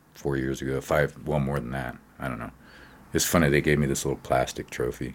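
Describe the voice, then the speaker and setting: A man's very deep, low voice in an American accent, with vocal fry, a fairly quick pace, and monotone, flat intonation. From Montana. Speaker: singer-songwriter. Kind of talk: interview conversation.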